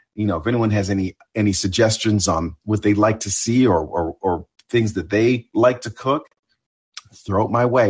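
The voice is somewhat breathy, with ordinary pitch variation. It moves at a moderate pace in a dry, close sound with no echo. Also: man. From Ontario, Canada. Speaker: TV news correspondent. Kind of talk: interview chat.

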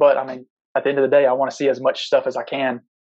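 A man speaks with an Alabama accent. His pace is fairly quick. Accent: Southern US (Alabama). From US South, Tuscaloosa, Alabama. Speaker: competitive pistol shooter. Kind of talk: casual interview. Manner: hesitant, many fillers.

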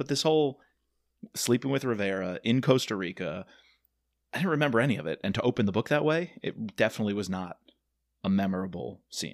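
A man with an American accent and a fairly low pitch speaks at a very fast pace with lively intonation and long, frequent pauses, in a dry, close sound with no echo and a very clean recording with a silent background. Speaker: podcast host and geography teacher. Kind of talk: casual chat.

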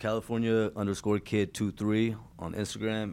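In a very clean recording with a silent background, a man with a fairly low pitch and fairly even intonation talks in a normal speaking voice. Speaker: boxing trainer. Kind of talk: casual interview.

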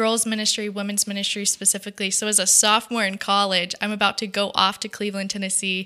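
With a bright, sharp tone and an American accent, a woman talks at a very fast pace in a monotone, flat intonation with hardly any pauses, on a very clean recording with a silent background. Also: medium pitch for a woman. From US South, Georgia (Dalton) and Texas. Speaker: faith-based ministry worker. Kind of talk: casual interview chat. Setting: studio.

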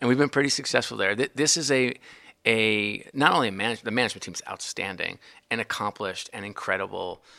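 A man talks very fast in a medium pitch with ordinary pitch variation, his voice bright, sharp, intense and energetic with vocal fry, on a very clean recording with a silent background. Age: 40s. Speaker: sports team executive. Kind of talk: interview conversation. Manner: intense, energetic.

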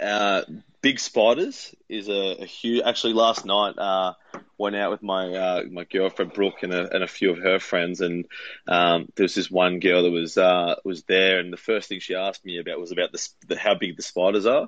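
The speaker has an Australian accent. The pace is moderate and the intonation fairly even. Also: man, very deep, low pitch for a man. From Melbourne, Australia. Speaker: police officer. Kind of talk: casual interview chat.

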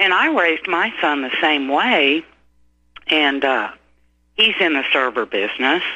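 Speaking fairly slowly with long, frequent pauses, a woman uses a very deep, low pitch and lively intonation. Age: 60s. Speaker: caller. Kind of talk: casual chat.

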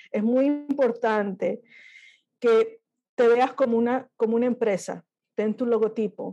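A woman speaks at a fairly slow pace with fairly even intonation. Her voice is fairly high in pitch, with a dark, mellow tone. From Miami, raised by Peruvian parents from age 8. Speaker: illustrator. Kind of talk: interview. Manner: halting, many repeated words.

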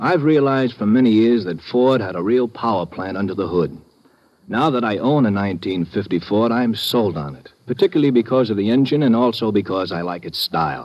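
A man with a plain, everyday voice speaks at a medium pitch and a fairly quick pace, his intonation lively. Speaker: commercial announcer. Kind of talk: radio commercial read. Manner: smooth, upbeat, salesman-like.

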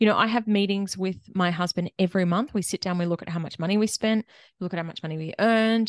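A woman with an Australian accent speaks at a very fast pace. Her pitch is medium and the background is quiet. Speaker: money mentor and accountant. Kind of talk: interview conversation. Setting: remote interview across countries.

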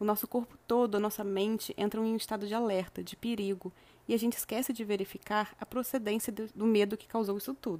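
Fairly quick speech from a woman with a fairly high pitch, a dark, mellow tone and monotone, flat intonation. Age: 20s. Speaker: podcast host, self-development. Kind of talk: reflective monologue.

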